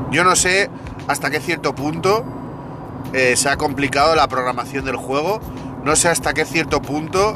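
A man with a Spanish accent speaks at a moderate pace in a fairly high pitch with ordinary pitch variation. He takes long, frequent pauses over noticeable background noise. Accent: Peninsular Spanish. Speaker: podcast host, gaming commentator. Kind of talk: angry rant, indignant monologue at a game company. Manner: heated, indignant, emphatic, repeating phrases; exasperated, swearing, venting.

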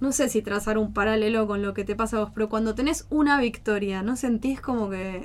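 A woman uses an ordinary speaking voice at a fairly high pitch with fairly even intonation. She goes at a fairly quick pace with hardly any pauses. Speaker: eco-friendly small business owner. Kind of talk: radio interview.

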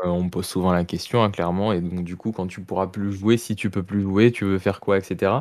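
A man talks at a fairly quick pace in a very deep, low voice with monotone, flat intonation. The recording is very clean, with a silent background. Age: 20s. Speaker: professional esports player. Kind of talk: interview.

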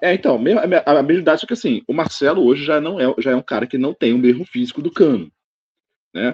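At a very fast pace, a man speaks with lively intonation and a fairly high pitch. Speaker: football podcast co-host. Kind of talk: casual chat.

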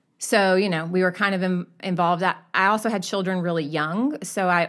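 A woman with a normal speaking voice, fairly low pitch, ordinary pitch variation and an American accent, at a fairly quick pace in a very clean recording with a silent background. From US South. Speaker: church member. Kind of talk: casual chat.

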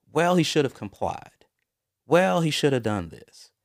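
In an American accent, a man with a normal speaking voice talks at a fairly quick pace with lively intonation. The recording is very clean, the background silent. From US South, Mobile, Alabama. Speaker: interview guest. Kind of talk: casual interview.

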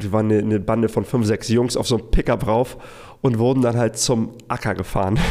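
There is a very clean recording with a silent background. A man with a plain, everyday voice and a medium pitch speaks at a fairly quick pace. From Hamburg suburbs, Germany (moved from Iraq at six). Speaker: business consultant for freelancers. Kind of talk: solo storytelling monologue. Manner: casual with fillers and repetitions.

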